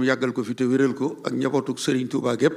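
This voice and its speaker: A man speaks at a moderate pace and medium pitch. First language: Wolof (speaking French). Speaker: religious historian. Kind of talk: formal speech.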